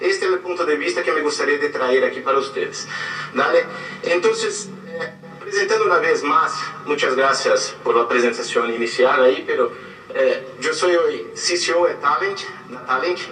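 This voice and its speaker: A man talks at an even, middling tempo in a room with audible echo while music plays behind him. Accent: Portuguese. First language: Portuguese (speaking Spanish). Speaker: advertising creative director. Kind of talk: guest lecture.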